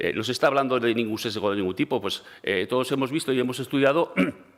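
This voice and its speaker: Very fast speech from a man, pitch varying in an ordinary way. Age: 60s. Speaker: regional education minister. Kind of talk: parliamentary debate. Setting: parliament chamber. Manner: halting, many fillers and repetitions; calm.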